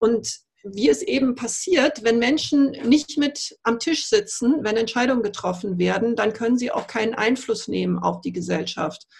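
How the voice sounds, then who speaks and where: A woman with a fairly high pitch and vocal fry talks at a moderate pace with hardly any pauses. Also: quiet background. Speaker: politician. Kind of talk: panel discussion. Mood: calm, measured. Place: office. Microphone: video call.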